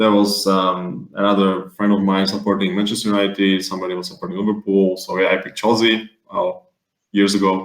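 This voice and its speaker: Talking at a fairly quick pace, a man keeps a monotone, flat intonation. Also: fairly low pitch for a man. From Slovakia. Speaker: guest fantasy football fan. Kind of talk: casual podcast chat. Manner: halting, many fillers.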